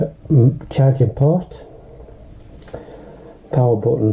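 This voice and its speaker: A man with a Northern English accent and ordinary pitch variation. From Northern England. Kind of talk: casual unboxing talk to camera.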